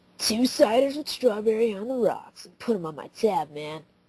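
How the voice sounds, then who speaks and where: A raspy, female-sounding put-on character voice at a fairly high pitch for a woman. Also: moderate pace. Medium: read story. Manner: casual, laid-back slang.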